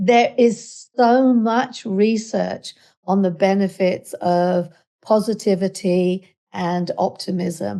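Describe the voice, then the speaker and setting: Her tone is dark and mellow at a medium pitch. The woman speaks at a very slow pace. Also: ordinary pitch variation, quiet background. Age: 60s. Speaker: psychotherapist and hypnotherapist. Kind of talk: casual interview conversation.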